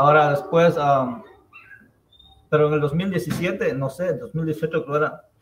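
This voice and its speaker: A man speaks very slowly in a fairly high pitch, with ordinary pitch variation. His speech has long, frequent pauses. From Ecuador, Andean highlands (Chimborazo). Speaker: real estate investor. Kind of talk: interview.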